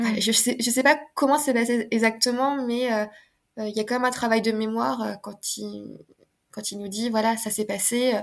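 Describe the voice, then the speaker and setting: In an unremarkable speaking voice, a woman talks at a fairly slow pace with fairly high pitch and fairly even intonation. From France. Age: 30s. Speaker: osteopath. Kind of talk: casual chat.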